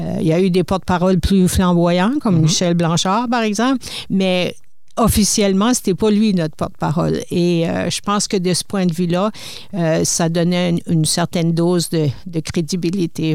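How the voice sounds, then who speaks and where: In an unremarkable speaking voice, a woman talks at a moderate pace and fairly low pitch, with ordinary pitch variation and very even loudness. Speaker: retired broadcasting executive, publisher. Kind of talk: interview. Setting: studio.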